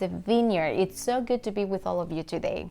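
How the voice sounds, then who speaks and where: In a Latin American accent, a woman talks at a moderate pace with ordinary pitch variation. The recording is very clean, the background silent. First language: Spanish. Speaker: pastor. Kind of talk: devotional talk.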